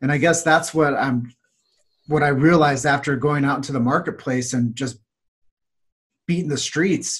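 Somewhat breathy and fairly high in pitch, a man speaks with an American accent at a moderate pace. He leaves long, frequent pauses. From US Midwest, Davenport, Iowa. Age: 40s. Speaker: chiropractic marketer and podcaster. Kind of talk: podcast interview.

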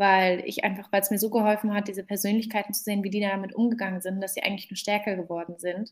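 Over a silent background in a very clean recording, a woman talks at a fairly quick pace with a medium pitch, somewhat breathy delivery and monotone, flat intonation. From Germany, Berlin. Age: 20s. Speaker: startup founder. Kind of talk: interview.

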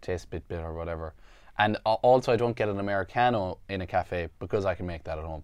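Against a quiet background, a man with a very deep, low pitch speaks at a very fast pace with ordinary pitch variation. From Ireland. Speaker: podcast co-host. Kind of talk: casual chat; reading news items aloud.

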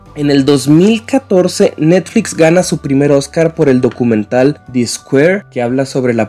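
With ordinary pitch variation, the man talks at a fairly slow pace amid noticeable background noise. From northern Mexico (Chihuahua). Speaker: podcast contributor. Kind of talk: casual presentation. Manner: halting, with fillers.

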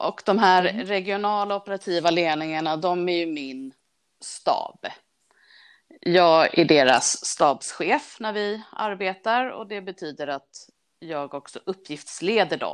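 A woman's fairly low-pitched voice at a very slow pace, with lively intonation and big swings in loudness, over a quiet background. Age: 40s. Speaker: railway traffic manager. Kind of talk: casual interview.

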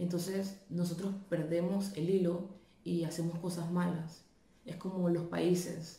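A woman speaks in a fairly low, somewhat breathy voice with a dark, mellow tone and monotone, flat intonation. She talks at a fairly slow pace, and audible room echo surrounds her. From Panama. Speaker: video commenter. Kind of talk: video testimony.

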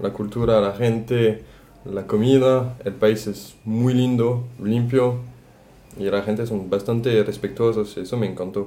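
At a fairly slow pace, a man with a French accent speaks at medium pitch in a dark, mellow tone. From France, Brittany. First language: French (speaking Spanish). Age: 20s. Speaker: tourism worker. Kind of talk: casual chat.

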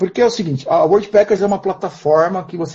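A somewhat breathy male voice. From interior of São Paulo state, Brazil. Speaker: nomadic entrepreneur, street seller. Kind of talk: casual chat. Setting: live stream video call.

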